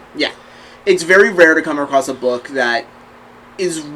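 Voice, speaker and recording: Over noticeable background noise, a man with a Southern US accent speaks at a fairly high pitch. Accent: faint Southern accent on some words. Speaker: podcast co-host. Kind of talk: casual chat.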